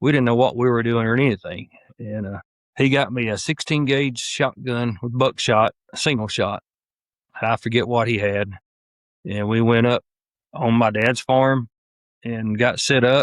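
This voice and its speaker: A man with a Southern US accent at a medium pitch, fairly even intonation, and long, frequent pauses over a quiet background. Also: moderate pace, dry, close sound with no echo. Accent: Southern US (Georgia). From US South, northwest Georgia. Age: 60s. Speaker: hunter, retired sheriff's deputy. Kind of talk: casual interview.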